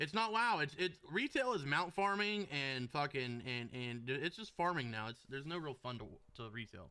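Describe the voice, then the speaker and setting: In a Southern US accent, a man speaks in an animated, bright, sharp tone with very wide pitch swings. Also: fairly high pitch for a man, moderate pace. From US South, Florida. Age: 30s. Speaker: video game streamer. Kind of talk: live stream chat with viewers while gaming. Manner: casual, animated.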